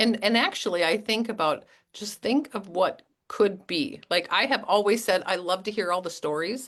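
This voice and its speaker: An unremarkable speaking voice from a woman, moderate in pace with ordinary pitch variation, over a quiet background. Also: medium pitch for a woman. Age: 50s. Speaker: network marketing team leader hosting a call. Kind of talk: online group call interview.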